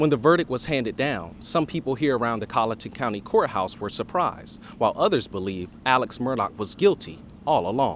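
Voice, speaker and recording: A man speaks in a plain, everyday voice at a medium pitch. His pace is fairly quick and his intonation lively. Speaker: TV news reporter and anchor. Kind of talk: TV news field report.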